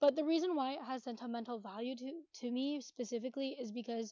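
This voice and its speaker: This woman talks at a fairly quick pace. Her voice is high-pitched, with fairly even intonation. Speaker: YouTuber. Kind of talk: casual Q&A vlog. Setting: bedroom at home. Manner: sometimes mumbling.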